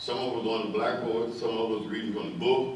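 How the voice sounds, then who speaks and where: The man's speech carries audible room echo, with noticeable background noise also present. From Delaware, US. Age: 90s. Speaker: elder recounting school memories. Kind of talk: personal testimony speech. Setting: fire hall event with audience.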